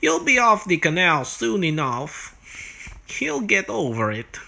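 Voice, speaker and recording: Using a put-on character voice, a man speaks at a fairly high pitch. His pace is fairly slow. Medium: solo performance. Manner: jovial, teasing.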